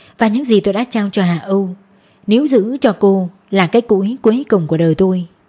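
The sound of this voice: The clip carries an unforced reading voice with ordinary pitch variation.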